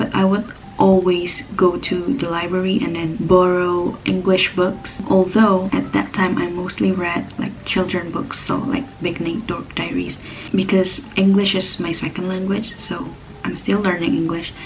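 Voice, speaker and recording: Music plays in the background as a woman with an Indonesian accent speaks at a medium pitch and a fairly slow pace, with ordinary pitch variation and audible room echo. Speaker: book vlogger. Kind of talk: casual monologue. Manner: halting.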